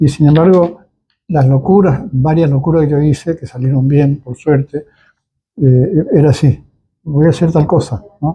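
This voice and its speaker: Somewhat breathy and fairly high in pitch, a man speaks at a fairly slow pace with fairly even intonation. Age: 80s+. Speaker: cultural center founder. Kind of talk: interview. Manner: halting.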